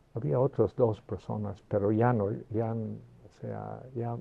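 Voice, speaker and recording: A man speaks very slowly at a fairly low pitch. His intonation stays fairly even. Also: hardly any pauses, big swings in loudness. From England (Liverpool area). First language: English (speaking Spanish). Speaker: retired mathematics professor. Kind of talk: interview. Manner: halting, many fillers and restarts.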